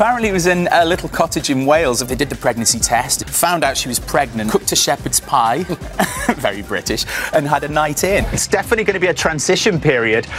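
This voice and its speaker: Over clear music in the background, a man speaks very fast at a fairly high pitch, with very wide pitch swings. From Britain. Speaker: entertainment correspondent and royal commentator; entertainment correspondent, royal commentator. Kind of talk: TV entertainment news commentary and interview banter.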